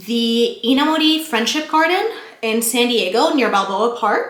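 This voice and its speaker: In a room with audible echo, a woman speaks at a fairly slow pace with a high pitch, an animated tone and very wide pitch swings. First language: not English (English is third language). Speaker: lifestyle vlogger. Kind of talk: casual chat.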